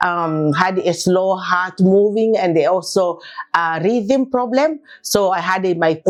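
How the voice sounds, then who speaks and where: Noticeable background noise runs under this recording. A woman with a medium pitch speaks with lively intonation. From Tanzania, Dar es Salaam. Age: 60s. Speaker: patient. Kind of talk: testimony.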